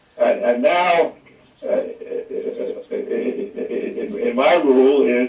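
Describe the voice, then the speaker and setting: The voice belongs to a man. Noticeable background noise can be heard along with it. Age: 80s+. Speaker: scientist. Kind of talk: interview. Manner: halting, many repeated words.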